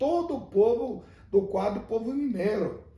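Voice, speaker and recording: The speaker moves at a fairly slow pace with very wide pitch swings. Noticeable background noise sits behind the voice. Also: man. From Rio Grande do Sul, Brazil. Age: 60s. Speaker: former mayor. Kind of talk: interview answer.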